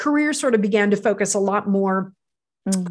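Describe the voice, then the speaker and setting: A woman speaks with lively intonation at a fairly high pitch. The recording is very clean, with a silent background. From US, Pittsburgh, Pennsylvania. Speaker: podcast host. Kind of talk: interview. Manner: halting, many fillers.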